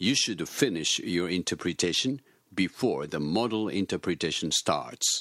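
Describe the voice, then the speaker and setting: A man with a Japanese accent speaks at a fairly slow pace with lively intonation, dry and close with no echo. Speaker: English teacher. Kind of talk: instructions; scripted dialogue.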